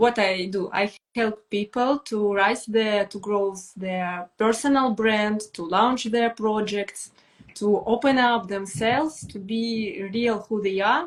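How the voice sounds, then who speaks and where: A woman's very slow speech in a Russian accent, with ordinary pitch variation. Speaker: brand strategist. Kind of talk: live stream conversation. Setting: online live stream. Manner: halting, hesitant English.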